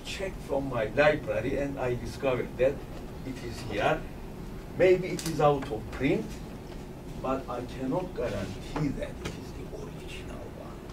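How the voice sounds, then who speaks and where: Fairly slow speech from a man with a fairly high pitch, ordinary pitch variation, audible room echo and noticeable background noise. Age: 60s. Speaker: physics professor. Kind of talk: lecture.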